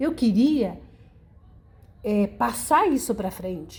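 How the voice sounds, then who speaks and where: The voice has a dark, mellow tone and moves at a fairly slow pace. Its pitch swings very widely. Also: woman. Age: 60s. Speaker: senior university student. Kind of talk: documentary interview.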